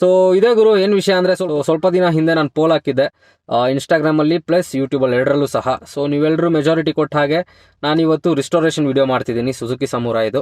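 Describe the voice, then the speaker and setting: Here is a man with a normal speaking voice. He sits at a fairly high pitch, and it varies in an ordinary way. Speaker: motorbike vlogger. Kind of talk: vlog walkthrough. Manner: casual, filler-heavy.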